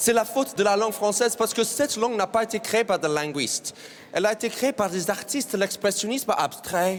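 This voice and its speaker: Over noticeable background noise, a man with an English accent and a high pitch speaks at a fairly quick pace, with ordinary pitch variation and very even loudness. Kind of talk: casual, joking.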